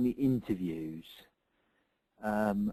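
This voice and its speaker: A man is speaking. His tone is dark and mellow. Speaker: CV writing and recruitment advisor. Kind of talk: webinar Q&A. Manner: hesitant, many fillers.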